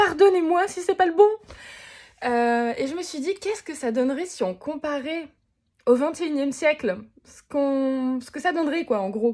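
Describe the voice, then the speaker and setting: At a moderate pace, the speaker uses lively intonation and an animated tone in a very clean recording with a silent background. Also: woman. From Moselle, eastern France. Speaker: vlogger and singer. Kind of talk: casual vlog monologue.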